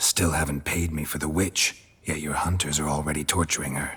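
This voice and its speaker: Using a put-on character voice, a man speaks at a fairly quick pace with a very deep, low pitch. His delivery is deadpan, with monotone, flat intonation. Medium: video game. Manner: terse, deadpan.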